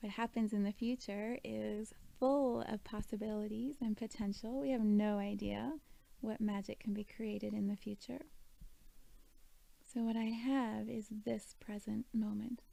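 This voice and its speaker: A woman with an unremarkable speaking voice talks at a fairly slow pace, her fairly high pitch held to fairly even intonation. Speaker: meditation guide. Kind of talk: guided meditation. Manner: calm, slow.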